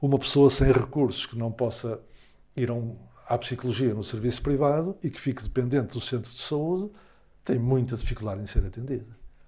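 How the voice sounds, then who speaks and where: Somewhat breathy and dark and mellow in tone, a man talks at a fairly quick pace and medium pitch, with ordinary pitch variation and big swings in loudness. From Portugal, Porto area (Gaia). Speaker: psychologist and academic. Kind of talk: interview.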